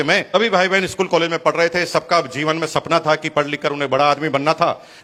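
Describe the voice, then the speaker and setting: A man with a fairly high pitch and fairly even intonation talks at a moderate pace while noticeable background noise plays. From Rajasthan, India (Bhilwara). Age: 50s. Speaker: network marketing speaker. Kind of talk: motivational talk.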